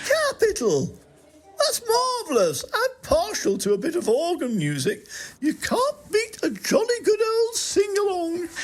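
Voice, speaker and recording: Using a put-on character voice, a woman speaks in a pompous tone at an extremely high pitch and a fairly slow pace. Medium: audio drama. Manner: plummy, pompous.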